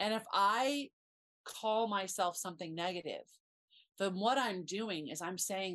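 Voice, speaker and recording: A woman speaks in a plain, everyday voice at a medium pitch. Her pace is fairly slow, with ordinary pitch variation. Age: 50s. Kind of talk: casual chat.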